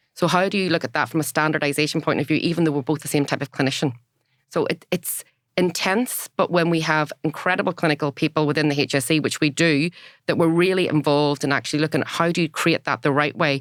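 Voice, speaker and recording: In a Northern Irish accent, a woman talks very fast at a very deep, low pitch, with fairly even intonation and very even loudness, on a dry, close recording with no echo that is very clean against a silent background. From Northern Ireland. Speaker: former health service data director, organisational psychologist. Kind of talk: podcast interview.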